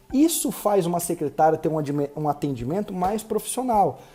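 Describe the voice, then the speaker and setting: A man talks fairly quickly, with noticeable background noise behind him. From Brazil. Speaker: medical marketing consultant. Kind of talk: recorded online lecture. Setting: live online class at computer. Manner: fast.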